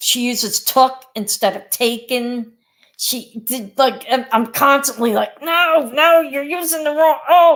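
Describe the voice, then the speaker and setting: A woman speaks with a Philadelphia accent at a high pitch. Her pace is fairly slow, and her pitch varies in an ordinary way. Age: 60s. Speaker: teacher. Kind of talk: casual chat.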